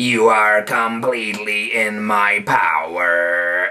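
A man's raspy, put-on character voice, fairly low-pitched, at a very slow pace. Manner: menacing, gloating.

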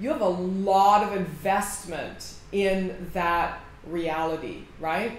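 Light background noise sits under audible room echo. A woman talks with ordinary pitch variation. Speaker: mindset coach. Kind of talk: direct-to-camera coaching talk. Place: office. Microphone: phone near.

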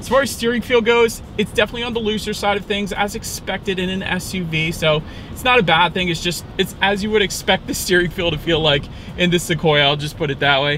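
A man speaks at a fairly quick pace in a raised, projected voice with ordinary pitch variation. The sound is dry with no echo, over light background noise. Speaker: car reviewer. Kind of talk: car review commentary. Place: car. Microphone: camera far.

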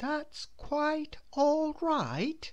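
In a put-on character voice, a woman speaks very slowly at high pitch with big pitch swings.

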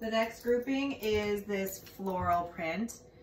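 A woman speaks with fairly even intonation. There is light background noise and audible room echo. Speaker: presenter. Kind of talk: product showcase talk. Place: empty room.

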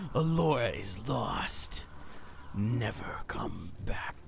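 Over clear background noise, a man uses a put-on character voice at a very slow pace. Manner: ominous.

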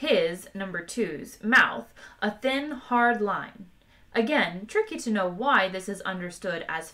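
Lively intonation in someone reading aloud in a natural voice.

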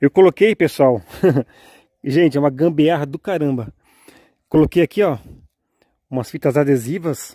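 A man with a dark, mellow tone speaks at a moderate pace with ordinary pitch variation, in a dry sound with no echo and a quiet background. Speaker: drone video creator. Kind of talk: casual vlog chat. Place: garden. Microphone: phone near.

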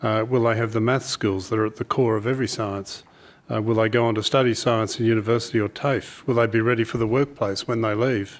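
Very fast, monotone speech from a man with an Australian accent and flat intonation. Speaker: chief scientist. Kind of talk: formal speech. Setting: stage with audience. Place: hall. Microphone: podium.

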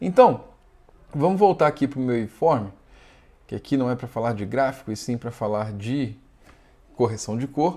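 Lively intonation marks this man's medium-pitched voice, which has a dark, mellow tone. He speaks at a moderate pace with long, frequent pauses. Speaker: video editing tutorial youtuber. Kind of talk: tutorial.

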